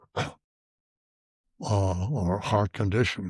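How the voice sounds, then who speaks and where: A man speaks with an American accent and a somewhat breathy voice. The sound is dry and close with no echo, and the recording is very clean against a silent background. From South Boston. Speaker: grandfather. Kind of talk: interview answer.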